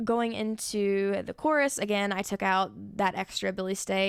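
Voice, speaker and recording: In a very clean recording with a silent background, a woman at medium pitch speaks in a plain, everyday voice, with ordinary pitch variation. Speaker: songwriter and video creator. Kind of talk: tutorial. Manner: casual.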